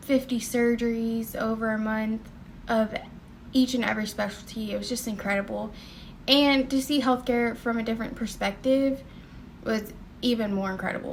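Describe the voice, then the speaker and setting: In a Southern US accent, the voice keeps a moderate pace with monotone, flat intonation and long, frequent pauses. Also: woman, fairly high pitch for a woman. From US South. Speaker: nursing student and vlogger. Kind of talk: personal testimony vlog. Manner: casual, many fillers.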